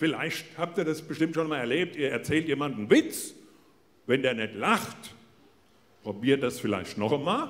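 This man's delivery is moderately paced, broken by long, frequent pauses. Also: fairly high pitch for a man, lively intonation. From Hesse, Germany. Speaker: comedian. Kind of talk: motivational stage talk. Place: stage. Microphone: handheld.

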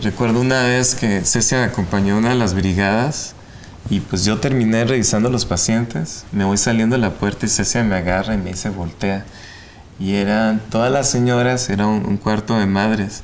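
Over light background noise, a man speaks at a moderate pace and fairly low pitch, with fairly even intonation and very even loudness. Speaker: ophthalmologist and medical professor. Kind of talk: interview. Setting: studio. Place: studio. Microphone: lapel.

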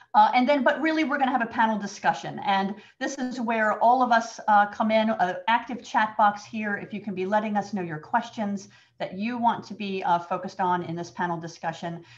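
Somewhat breathy speech from a woman, fairly quick, her pitch varying in an ordinary way. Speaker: webinar moderator. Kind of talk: webinar introduction. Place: home room. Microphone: webcam.

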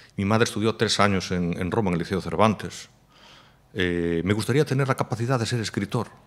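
Here a man talks at a fairly low pitch with ordinary pitch variation. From Galicia, rural Spain. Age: 40s. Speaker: fashion designer; podcast guest. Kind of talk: interview conversation. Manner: halting, repeats words. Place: studio. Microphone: studio mic.

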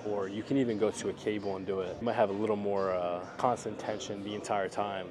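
Over music in the background, a man talks at a fairly quick pace with hardly any pauses, his fairly low voice flat and monotone. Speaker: fitness vlogger. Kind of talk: tutorial. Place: gym. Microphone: lapel.

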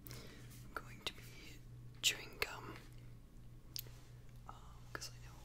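Through noticeable background noise, a man with a very deep, low voice speaks fairly slowly in a monotone, flat intonation. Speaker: ASMR creator. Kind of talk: ASMR whisper ramble. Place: home room. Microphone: studio mic.

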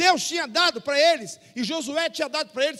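A man projects a raised voice with a bright, sharp tone. His pace is moderate against a quiet background. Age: old. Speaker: pastor. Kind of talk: sermon. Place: church. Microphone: handheld.

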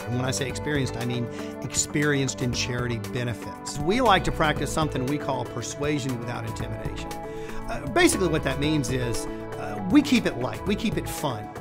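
A man at a fairly quick pace with hardly any pauses, over clear background music. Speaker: charity benefit auctioneer. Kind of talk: promotional interview talk to camera. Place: studio.

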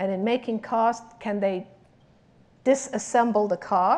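A woman speaks at medium pitch with a slightly mellow tone, ordinary pitch variation, and a fairly slow pace.

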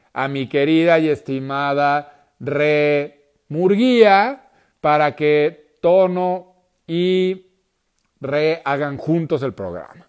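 The background is quiet. A man speaks in a fairly high voice. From northern Mexico. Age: 40s. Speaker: podcast host. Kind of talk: casual interview chat. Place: home room. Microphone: earbuds.

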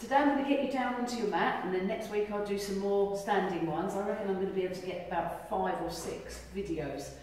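Strong room echo fills the clip, with light background noise underneath. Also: woman. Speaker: fitness instructor. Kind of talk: exercise class instruction. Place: hall. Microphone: camera far.

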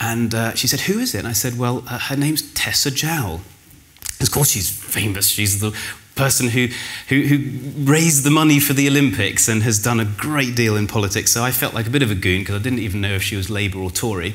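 A man talking at a fairly quick pace, with ordinary pitch variation. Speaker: conference speaker. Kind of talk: conference talk. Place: hall. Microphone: lapel.

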